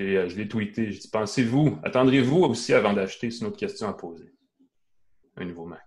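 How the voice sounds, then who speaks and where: The man's pace is fairly quick and his pitch varies in an ordinary way, with quiet behind him. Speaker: tech show host. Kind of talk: live tech talk show. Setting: live stream.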